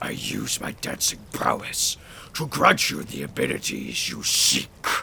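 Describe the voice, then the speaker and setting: Growling in a put-on character voice, a man talks at a fairly slow pace over clear background noise. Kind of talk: tabletop character acting. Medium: actual play. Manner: solemn, theatrical.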